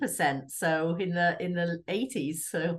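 Against a quiet background, a woman speaks with an English accent. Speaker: realtor and real estate board president. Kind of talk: radio interview. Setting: radio studio.

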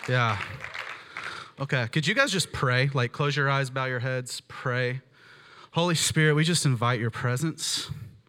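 A man with a medium pitch speaks at a fairly slow pace, leaving long, frequent pauses. His tone is animated, bright and sharp, with ordinary pitch variation. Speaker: preacher. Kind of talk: sermon with live prayer and prophetic words over a congregation. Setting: church with live audience. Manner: fervent, earnest, conversational and animated.

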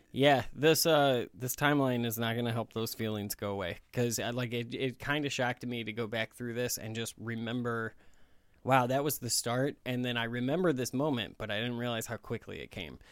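A normal speaking voice from a man at medium pitch, fairly quick and fairly even in intonation, in a very clean recording with a silent background. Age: 30s. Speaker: podcast host. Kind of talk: casual chat.

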